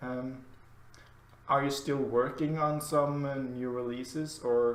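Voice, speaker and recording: Room echo is audible as a man speaks at a fairly slow pace. His fairly high voice stays monotone and flat. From Norway. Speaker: podcast host. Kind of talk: interview. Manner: halting.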